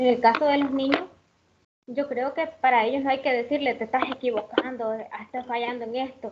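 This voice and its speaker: A woman at a high pitch, moderate in pace, with ordinary pitch variation. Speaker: student teacher. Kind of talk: class discussion.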